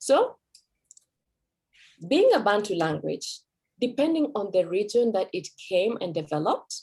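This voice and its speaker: A woman with a Kenyan accent speaks at medium pitch in a dark, mellow tone, with very wide pitch swings. Her pace is fairly slow, broken by long, frequent pauses. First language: Kikuyu. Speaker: language teacher. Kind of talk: presentation.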